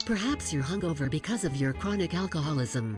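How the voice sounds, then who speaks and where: Over loud background music, someone does a put-on character voice at a middle pitch and a fairly quick pace. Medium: fan dub. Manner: flat, deadpan.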